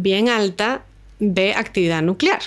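Here is a woman with a plain, everyday voice. Her pitch sits in the medium range. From Venezuela, Caracas. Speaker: astronomer. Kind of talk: interview. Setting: in person at a university institute.

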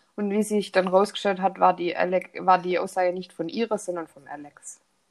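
A woman talks with a Swabian accent at a medium pitch. Her pace is moderate and her intonation fairly even. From Swabia, southern Germany. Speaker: true crime podcast host. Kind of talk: casual storytelling. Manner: hesitant, many fillers.

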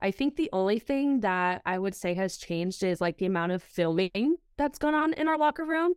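Recorded in a dry, close sound with no echo, a woman with an American accent speaks with very wide pitch swings and very even loudness. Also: medium pitch for a woman, fairly quick pace. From Southern California. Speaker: college soccer goalkeeper. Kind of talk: casual interview.

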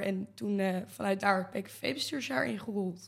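This woman has a plain, everyday voice at a medium pitch. Her pitch variation is ordinary. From Brabant, Netherlands. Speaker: student association board chair. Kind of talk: casual chat.

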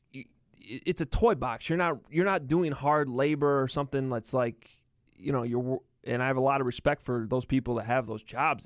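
This man has a plain, everyday voice of medium pitch and lively intonation. He talks at a moderate pace in a very clean recording with a silent background. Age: 30s. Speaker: sports reporter. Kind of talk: casual interview. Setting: studio.

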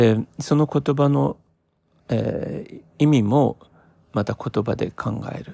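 A man's medium-pitched, dark, mellow voice with vocal fry and very wide pitch swings at a very slow pace, on a very clean, dry, close recording with a silent background and no echo. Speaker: podcaster. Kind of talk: solo reflective monologue. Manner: frequent fillers and hesitations; slow, thoughtful.

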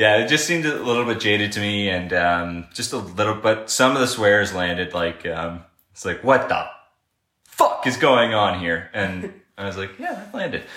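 A man with a Canadian accent at a moderate pace, with audible room echo. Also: fairly low pitch for a man, ordinary pitch variation. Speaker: podcast co-host. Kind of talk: casual chat. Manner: mumbling.

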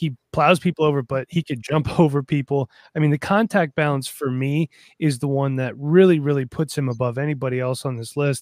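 A man with an ordinary speaking voice talks at a fairly quick pace and a fairly high pitch, his intonation fairly even and the sound dry and close with no echo. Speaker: fantasy football podcaster. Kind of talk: casual chat. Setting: video call.

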